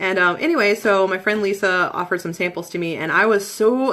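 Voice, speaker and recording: A woman with a Midwestern accent talks at a fairly quick pace in a bright, sharp tone. Her pitch varies normally. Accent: Midwest. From Michigan, US Midwest. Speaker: essential oils seller. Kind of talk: live-stream presentation. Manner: casual, lots of fillers.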